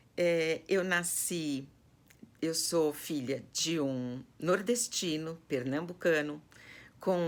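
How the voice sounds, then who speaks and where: At a very slow pace, a woman speaks with a São Paulo accent in a very deep, low pitch with ordinary pitch variation. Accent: Brazilian Portuguese, paulistano. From Brazil, São Paulo city (Zona Norte). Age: 60s. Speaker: personal organizer. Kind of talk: personal life story to online students. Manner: hesitant, many fillers.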